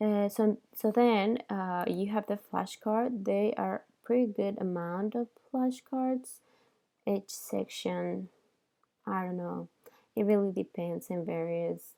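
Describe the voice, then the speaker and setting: Very slow speech comes from a woman. She has a non-native accent. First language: not English. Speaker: dental exam candidate reviewing study program. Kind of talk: screen-share product review. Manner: hesitant, many fillers.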